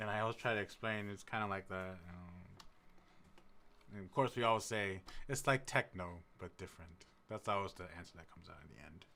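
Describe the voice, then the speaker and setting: Soft-spoken and bright, sharp in tone, a man with an American accent uses a fairly low pitch and ordinary pitch variation, his loudness swinging widely between long, frequent pauses. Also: fairly quick pace. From US Midwest, Madison, Wisconsin. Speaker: music producer streamer. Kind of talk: casual live stream chat. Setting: live stream. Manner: quiet, soft-spoken; halting.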